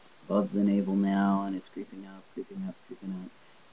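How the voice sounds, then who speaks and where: A man's very deep, low voice, dark and mellow in tone, with fairly even intonation. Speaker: vlogger. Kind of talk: video diary. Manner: stuttering, fumbling for words; hesitant, many fillers.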